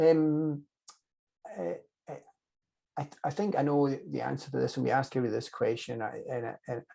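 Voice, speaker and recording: A man with a Scottish accent speaks at a moderate pace, with long, frequent pauses. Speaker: anesthesiologist interviewer. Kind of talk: interview. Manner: repeats words often.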